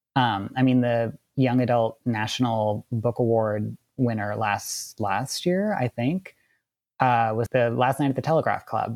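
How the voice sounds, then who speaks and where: The speaker has an American accent and talks at a fairly slow pace with ordinary pitch variation. Music plays in the background, and the sound is dry and close with no echo. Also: man. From US Midwest, suburban Wisconsin. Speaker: composer and novelist. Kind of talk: casual interview.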